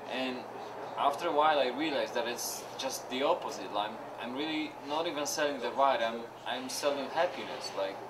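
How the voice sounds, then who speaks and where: Through noticeable background noise and audible room echo, a man speaks at a moderate pace with fairly high pitch and ordinary pitch variation. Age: 20s. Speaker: pedicab driver. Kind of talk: interview.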